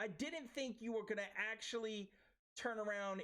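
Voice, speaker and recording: An American accent marks this man's speech. His delivery is fairly slow. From Brooklyn, New York. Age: 40s. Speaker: podcast host. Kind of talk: podcast interview.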